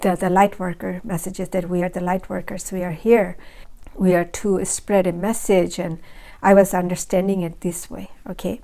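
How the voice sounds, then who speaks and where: Speaking at a moderate pace, a woman has a dark, mellow tone at medium pitch, with monotone, flat intonation on a very clean recording with a silent background. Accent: Bengali. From Bangladesh. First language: Bangla. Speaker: spiritual video creator. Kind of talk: personal testimony. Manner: halting, many fillers.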